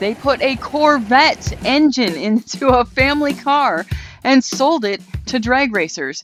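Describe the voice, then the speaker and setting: Music sounds in the background while a woman talks. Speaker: automotive show host. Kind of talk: storytelling narration to camera.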